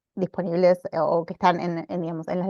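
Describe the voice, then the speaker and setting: A woman's fairly low voice with vocal fry, a dark, mellow tone and a fairly quick pace, in a dry sound with no echo over a quiet background. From Argentina. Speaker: librarian teaching a workshop; webinar presenter. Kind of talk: online workshop presentation. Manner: frequent hesitations and repetitions. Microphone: video call.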